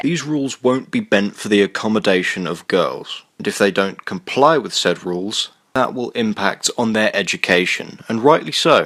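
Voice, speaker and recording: A moderate pace with hardly any pauses. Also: man. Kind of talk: commentary rebuttal to a video.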